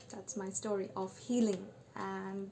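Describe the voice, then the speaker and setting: Noticeable background noise fills the clip. Over it comes a woman's voice. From Bengal. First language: Bengali. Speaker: vlogger sharing personal story. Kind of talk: personal testimony monologue. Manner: halting, with fillers.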